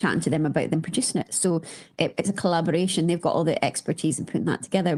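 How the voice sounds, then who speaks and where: A woman speaks in a Scottish accent with a dark, mellow tone. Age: 40s. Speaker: company founder. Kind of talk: interview conversation. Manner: hesitant, many fillers.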